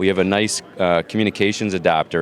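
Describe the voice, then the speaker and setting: Over noticeable background noise, a man with a Canadian accent talks at a fairly quick pace and fairly low pitch, with ordinary pitch variation. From Canada. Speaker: hearing-technology company representative. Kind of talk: trade show interview.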